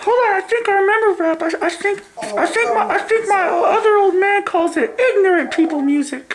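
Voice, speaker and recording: Using a put-on character voice, a woman talks at an extremely high pitch and a moderate pace, with very even loudness and hardly any pauses. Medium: comedy sketch. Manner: stammering, forgetful.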